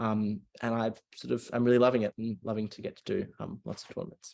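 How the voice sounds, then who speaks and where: The words come very fast. They carry an Australian accent. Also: man. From Australia, Melbourne. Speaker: university student debater. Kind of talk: casual chat. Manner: halting, many fillers.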